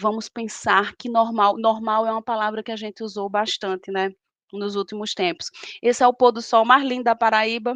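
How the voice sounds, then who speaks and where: A woman with a northeastern Brazilian accent speaks at a moderate pace in a fairly high, flat monotone. The sound is dry and close with no echo, over a quiet background. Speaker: professor and lecturer. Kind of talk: lecture.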